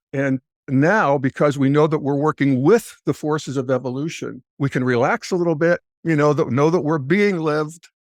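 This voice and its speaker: This man has an ordinary speaking voice, fairly high, with ordinary pitch variation at a moderate pace. The sound is dry and close with no echo, over a quiet background. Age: 60s. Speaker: podcaster and integral philosophy commentator. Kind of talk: podcast interview.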